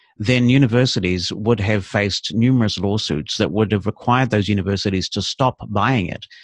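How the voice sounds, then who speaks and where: In a New Zealand accent, the speaker uses ordinary pitch variation against a quiet background. The sound is dry and close, with no echo. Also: man. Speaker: assistive technology consultant. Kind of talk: interview. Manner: articulate.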